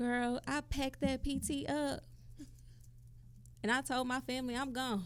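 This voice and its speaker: With a Southern accent and a high pitch, a woman speaks in an animated tone at a moderate pace, with long, frequent pauses. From Mississippi, US South. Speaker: podcast co-host. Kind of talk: casual chat.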